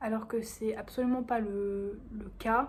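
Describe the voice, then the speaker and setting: A woman's somewhat breathy voice. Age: 18. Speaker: vlogger. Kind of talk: casual vlog monologue.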